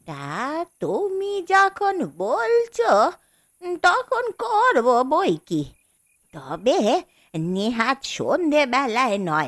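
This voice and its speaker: In a put-on character voice, a woman talks at a high pitch and a very slow pace. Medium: audio drama. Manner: repetitive, anxious.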